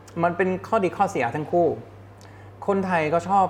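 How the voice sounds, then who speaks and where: A high-pitched man with a German accent and ordinary pitch variation. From Germany. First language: German (speaking Thai). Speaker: advertising executive. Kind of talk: interview.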